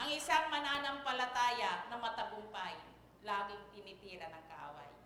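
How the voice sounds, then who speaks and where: A woman with a fairly high pitch talks at a fairly slow pace in an animated tone, with very wide pitch swings and big swings in loudness, amid noticeable background noise and audible room echo. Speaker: church lecturer. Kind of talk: sermon.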